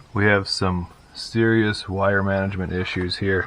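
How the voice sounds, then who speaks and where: A man with a very deep, low pitch and monotone, flat intonation, amid noticeable background noise. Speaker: car hobbyist. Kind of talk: casual talk to camera. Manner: casual, hesitant.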